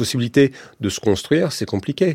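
The man's very wide pitch swings come through a very clean recording with a silent background and a dry, close sound with no echo. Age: 50s. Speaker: comics author and illustrator. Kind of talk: radio interview. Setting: radio studio. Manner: halting, many repetitions.

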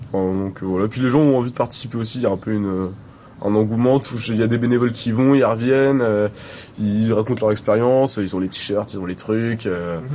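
At a fairly quick pace, a man with a medium pitch and fairly even intonation talks in a plain, everyday voice. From France, Clisson. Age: 20s. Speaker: festival volunteer. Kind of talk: casual interview.

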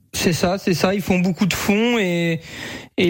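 A high-pitched male voice with fairly even intonation, at a very slow pace, over noticeable background noise. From France, Sarthe. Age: 20s. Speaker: harness racing driver and jockey. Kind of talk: radio interview. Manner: hesitant, many fillers.

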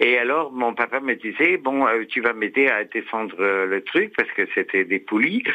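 In a plain, everyday voice, a man speaks fairly slowly at a medium pitch with ordinary pitch variation, hardly any pauses and very even loudness. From Somme, northern France. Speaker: radio caller. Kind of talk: casual phone chat.

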